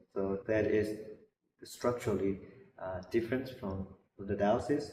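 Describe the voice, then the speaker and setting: Somewhat breathy and dark, mellow in tone, a man with a fairly low pitch speaks with fairly even intonation amid audible room echo. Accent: slight Burmese. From Burma. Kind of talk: interview. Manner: halting, many repeated words.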